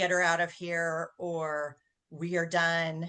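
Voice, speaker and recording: A woman speaks in a put-on character voice. Her delivery is monotone and flat, at a fairly slow pace. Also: fairly low pitch for a woman. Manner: angry.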